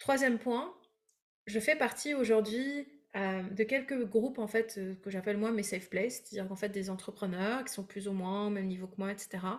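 The woman speaks at a medium pitch and a moderate pace. Her pitch rises and falls in an ordinary way. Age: 30s. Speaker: breathwork coach and entrepreneur. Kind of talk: casual interview. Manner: hesitant with fillers.

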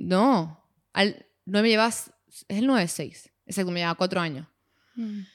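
The recording is very clean, with a silent background. A woman at a medium pitch speaks with ordinary pitch variation and long, frequent pauses. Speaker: podcast co-host. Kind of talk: casual chat. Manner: fast.

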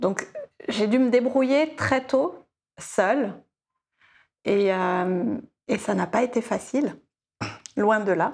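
A woman speaks very slowly with long, frequent pauses, her fairly high voice rising and falling in a lively way at a very even volume. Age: 40s. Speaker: life coach. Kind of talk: casual interview.

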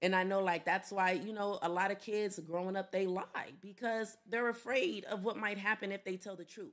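With a plain, everyday voice, a woman talks at medium pitch with fairly even intonation and hardly any pauses. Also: moderate pace. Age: young. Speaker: podcast guest. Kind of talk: casual chat. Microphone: too far from the mic.

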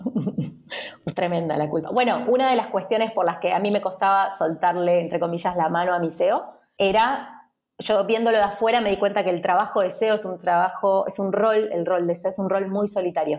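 A woman's plain, everyday voice at a medium pitch, moderate pace, and ordinary pitch variation. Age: 30s. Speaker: entrepreneur and designer. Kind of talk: interview.

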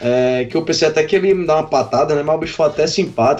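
A very fast delivery from a man with a fairly high pitch and ordinary pitch variation. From Paraíba, northeastern Brazil (Patos). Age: 30s. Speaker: festival-goer, music fan. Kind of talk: casual chat.

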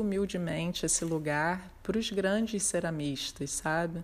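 Her pitch is fairly low as a woman talks with fairly even intonation. She keeps a fairly slow pace. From Brazil, Rio de Janeiro. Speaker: ceramic artist. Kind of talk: interview. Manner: halting, many fillers.

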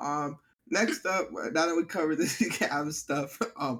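Fairly high pitch from a man at a fairly slow pace, with lively intonation. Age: 20s. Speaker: sports podcast co-host. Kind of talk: casual chat. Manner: animated.

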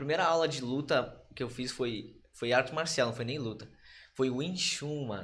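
A man speaks at medium pitch with ordinary variation and a somewhat breathy sound. Room echo is audible. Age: 20s. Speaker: professional Muay Thai fighter. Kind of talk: casual chat.

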